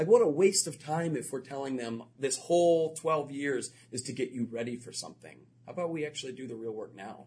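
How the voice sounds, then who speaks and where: A man's fairly high voice, somewhat breathy and dark and mellow in tone, with an American accent, a fairly quick pace and big swings in loudness. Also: ordinary pitch variation. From Florida. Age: 30s. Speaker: educator and author. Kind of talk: interview.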